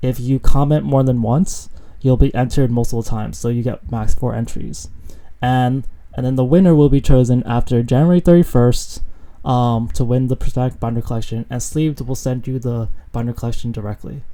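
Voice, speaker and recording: A man mumbles at a fairly quick pace in a dark, mellow tone. His pitch is medium and his intonation fairly even. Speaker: Pokemon card market YouTuber. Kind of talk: casual video commentary. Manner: mumbling; hesitant, many fillers.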